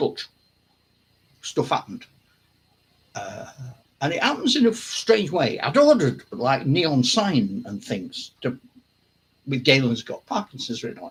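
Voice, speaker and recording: A man speaks at a fairly slow pace and a fairly high pitch, with long, frequent pauses and vocal fry. His pitch swings very widely and his loudness shifts in big swings. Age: 70s. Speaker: wargaming channel host. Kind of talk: casual chat. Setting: home hobby room, live stream. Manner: halting.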